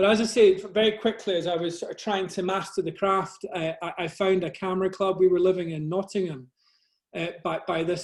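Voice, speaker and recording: A man with a Scottish accent talks at a moderate pace in a high pitch. His intonation stays fairly even. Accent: soft Scottish. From Scotland, Glasgow area. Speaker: nature photographer. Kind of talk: presentation to a camera club. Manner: halting, many fillers and repeats.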